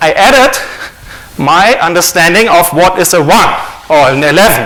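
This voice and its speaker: A man speaks in a German accent with lively intonation. Audible room echo and noticeable background noise surround him. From Germany. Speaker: author and conference speaker. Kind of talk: conference talk.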